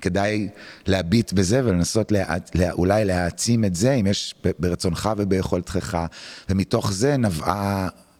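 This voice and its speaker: A man talks at a fairly slow pace in a fairly low pitch, with ordinary pitch variation and very even loudness. The recording is very clean, with a silent background. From Israel, Tel Aviv. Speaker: music producer and musician. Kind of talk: interview conversation. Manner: halting.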